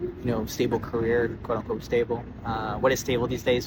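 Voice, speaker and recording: A man speaks at medium pitch and a moderate pace in a relaxed tone. There is audible room echo and noticeable background noise. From Texas (Dallas) and Michoacan, Mexico. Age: 20s. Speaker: musician. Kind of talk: casual video monologue. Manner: relaxed, casual with fillers.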